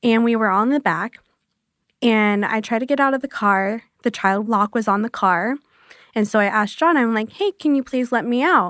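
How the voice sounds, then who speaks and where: A woman speaks at a moderate pace with a fairly high pitch, ordinary pitch variation and very even loudness, recorded with a dry, close sound and no echo. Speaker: survivor of abuse. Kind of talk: interview. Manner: soft-spoken.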